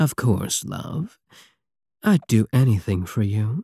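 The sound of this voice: In a put-on character voice, a man speaks slowly at a fairly low pitch with a dark, mellow tone, vocal fry, a slightly husky edge and big pitch swings, on a very clean, dry, close recording with a silent background and no echo.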